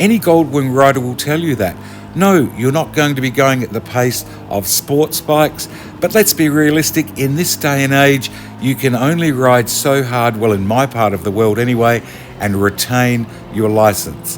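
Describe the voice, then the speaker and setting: A man speaks with an Australian accent. Noticeable background noise sits behind him. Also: medium pitch for a man, ordinary pitch variation, moderate pace. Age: 60s. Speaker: motorcycle vlogger. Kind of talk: casual vlog talk.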